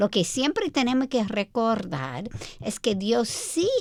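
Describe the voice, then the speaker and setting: A woman with an American accent speaks very slowly at a fairly high pitch with vocal fry, in a very clean recording with a silent background. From United States. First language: English (speaking Spanish). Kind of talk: radio Bible teaching chat.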